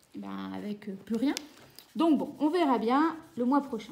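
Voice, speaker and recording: A woman is speaking here. Her pace is fairly slow. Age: 30s. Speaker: budgeting vlogger and teacher. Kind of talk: casual vlog.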